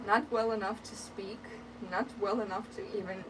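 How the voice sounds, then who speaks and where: Someone with a Ukrainian accent speaks at a moderate pace, with audible room echo and noticeable background noise. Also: woman. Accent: Ukrainian accent, trying to reduce it. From Ukraine. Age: 30s. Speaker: sewing livestreamer. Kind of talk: casual chat. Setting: livestream from hot attic sewing room. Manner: hesitant, many fillers.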